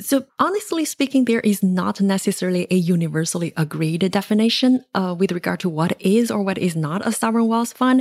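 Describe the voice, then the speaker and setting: A woman speaks with lively intonation and a Chinese accent. The sound is dry and close, with no echo. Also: medium pitch for a woman, fairly quick pace. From China. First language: Mandarin Chinese. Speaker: economics researcher and author. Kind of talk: podcast interview.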